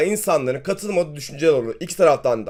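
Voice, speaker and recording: A man is speaking. His pitch is high. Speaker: finance YouTuber. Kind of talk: market commentary video.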